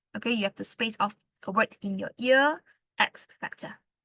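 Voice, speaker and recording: The voice is loud, with lively intonation at a fairly slow pace. The sound is dry and close with no echo. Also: woman. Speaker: English tutor. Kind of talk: lecture.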